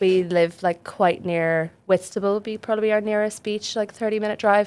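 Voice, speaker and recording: With an Irish accent, a woman speaks at a moderate pace and medium pitch in a monotone, flat intonation. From west coast of Ireland. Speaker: charity fundraiser. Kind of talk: casual podcast interview.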